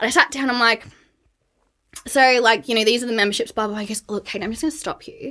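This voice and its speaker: With an Australian accent, a woman speaks in a bright, sharp tone at a high pitch. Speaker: burnout and wellness coach. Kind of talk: podcast interview. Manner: casual, filler-heavy.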